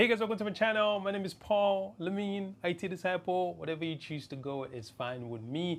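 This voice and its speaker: Against a quiet background, a man talks at a fairly quick pace with hardly any pauses, high-pitched and lively in intonation. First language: not English. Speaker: tech YouTuber. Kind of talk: tutorial. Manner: halting.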